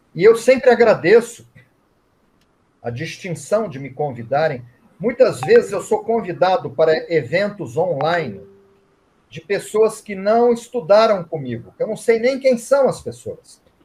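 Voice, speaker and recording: A man speaks at a fairly slow pace with a high pitch. His pitch swings very widely, and his loudness swings a lot too. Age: 60s. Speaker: Reiki master and author. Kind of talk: online event interview.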